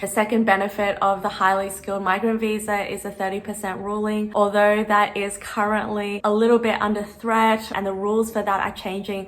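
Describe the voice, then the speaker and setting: With an Australian accent, a woman speaks at a medium pitch in a monotone, flat intonation. She keeps a fairly quick pace with hardly any pauses, over noticeable background noise. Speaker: vlogger. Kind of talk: Q&A vlog. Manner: casual.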